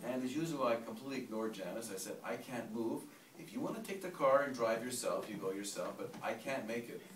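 Over light background noise and audible room echo, a man talks at a very fast pace. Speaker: storyteller at a gathering. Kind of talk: personal story told to a group. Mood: emotional, reflective. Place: home room. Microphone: camera far.

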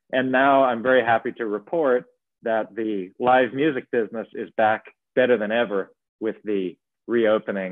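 With an American accent, a man speaks at a fairly low pitch with ordinary pitch variation. He has a normal speaking voice. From US Mid-Atlantic (Maryland). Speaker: entrepreneur and jazz pianist. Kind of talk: interview conversation.

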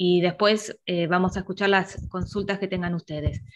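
A woman speaks at a moderate pace. Light background noise can be heard. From Argentina. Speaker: university lecturer. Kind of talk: online review class. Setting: video call. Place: home room. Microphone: earbuds.

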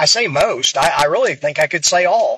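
A man with an American accent speaks at a fairly slow pace in a relaxed tone that is also bright and sharp. The sound is dry with no echo. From US small town. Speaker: pool player and coach. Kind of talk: casual monologue vlog. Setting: in a car in traffic. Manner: relaxed, hesitant with fillers. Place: car. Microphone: phone near.

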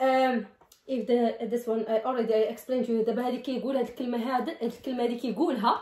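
Someone talks at a very fast pace with a Moroccan accent, with audible room echo. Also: woman. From Morocco. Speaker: vlogger. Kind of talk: casual talk to camera. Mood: playful, laughing. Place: home room. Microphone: phone near.

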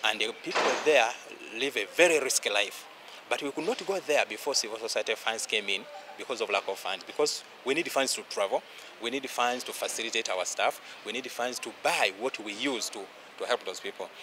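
With ordinary pitch movement, a man speaks fairly quickly while noticeable noise carries on in the background. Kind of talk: interview answer. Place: garden.

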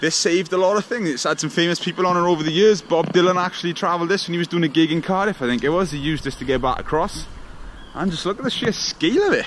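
Over light background noise, a man talks at a very fast pace, his high pitch showing ordinary variation. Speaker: exploration vlogger. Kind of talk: casual vlog chat. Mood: enthusiastic. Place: waterside. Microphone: phone near.

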